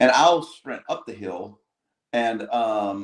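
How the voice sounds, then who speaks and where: With lively intonation, a man talks in a plain, everyday voice at medium pitch. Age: 60s. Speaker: cyclist and livestream guest. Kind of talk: casual chat. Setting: livestream.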